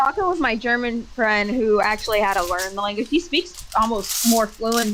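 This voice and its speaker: A woman with an American accent talks at a fairly high pitch against noticeable background noise. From Minnesota, military upbringing. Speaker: streamer. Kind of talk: casual chat. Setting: live stream.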